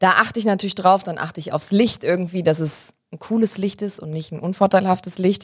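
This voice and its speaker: A woman speaks at a fairly quick pace in an animated tone, her somewhat breathy voice swinging widely in loudness. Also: medium pitch for a woman, hardly any pauses. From Germany, Hesse (Wiesbaden). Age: 20s. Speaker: TV presenter. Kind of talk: casual interview chat.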